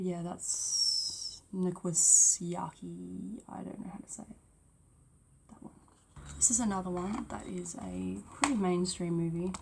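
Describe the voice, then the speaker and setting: Noticeable background noise sits behind a woman speaking at a fairly slow pace. Her loudness swings widely. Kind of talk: ASMR soft chat. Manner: soft-spoken, not whispered.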